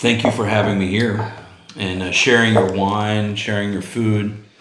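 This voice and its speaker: Noticeable background noise runs under the recording. A man speaks at a fairly slow pace in a fairly low pitch. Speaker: channel host. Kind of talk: casual interview talk.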